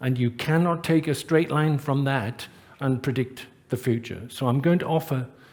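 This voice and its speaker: A somewhat breathy man with a British accent speaks fairly slowly at a fairly high pitch with fairly even intonation, on a very clean recording with a silent background. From Britain. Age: 60s. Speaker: professor of engineering and sustainability. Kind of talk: conference talk.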